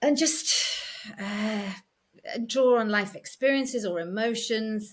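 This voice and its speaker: In a northern English accent, a woman with a fairly high pitch talks at a very slow pace, with audible echo in the room. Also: ordinary pitch variation. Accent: soft northern English. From North Yorkshire, northern England. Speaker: actress. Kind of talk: interview conversation. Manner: hesitant, many fillers.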